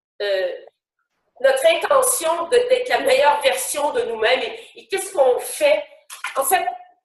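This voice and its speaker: Extremely high-pitched speech from a woman, fairly slow, with very wide pitch swings, big swings in loudness and audible room echo. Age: 60s. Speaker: actress and motivational speaker. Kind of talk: live webinar talk. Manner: spontaneous, hesitant with many fillers.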